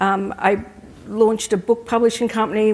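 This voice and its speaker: Speaking at a fairly quick pace, a woman with an Australian accent keeps a medium pitch and monotone, flat intonation. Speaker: craft industry sales director, former magazine editor. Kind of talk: panel discussion. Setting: stage with audience at trade show.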